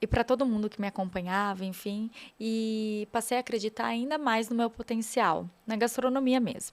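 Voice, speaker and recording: A woman's fairly high voice at a fairly slow pace, with ordinary pitch variation, on a very clean recording over a silent background. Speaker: TV presenter and influencer. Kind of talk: podcast interview.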